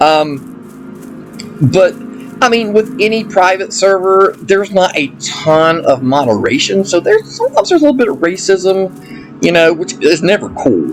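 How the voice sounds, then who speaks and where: Backed by music, a man with an Appalachian accent talks at a moderate pace with hardly any pauses. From Appalachia, US. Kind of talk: casual gameplay commentary. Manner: enthusiastic.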